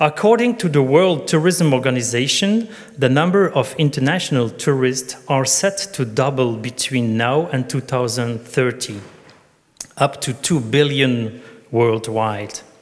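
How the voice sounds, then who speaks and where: A man speaks at a fairly slow pace and medium pitch. Noticeable background noise is present. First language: not English. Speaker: tourism conference speaker. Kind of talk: conference presentation. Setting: conference stage with audience. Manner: partly reading from notes.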